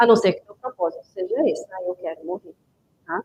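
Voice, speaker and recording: A woman speaks with lively intonation. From Goiás, Brazil. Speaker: book club host. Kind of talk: live stream talk. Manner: conversational.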